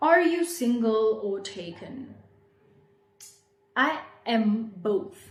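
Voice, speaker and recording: A somewhat breathy woman at a fairly high pitch with very wide pitch swings, very slow pace and long, frequent pauses, amid audible room echo. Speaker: YouTuber. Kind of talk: casual chat.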